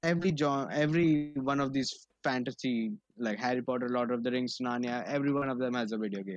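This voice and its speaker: A man speaks with an Indian accent at a fairly quick pace. He takes hardly any pauses and uses ordinary pitch variation. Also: medium pitch for a man. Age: 20s. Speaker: podcast co-host. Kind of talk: casual chat.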